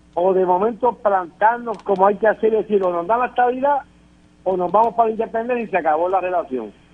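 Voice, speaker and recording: This man's high-pitched voice races along at a very fast pace, its pitch varying in an ordinary way. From Puerto Rico. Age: 60s. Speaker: political panelist. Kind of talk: political panel discussion. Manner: emphatic.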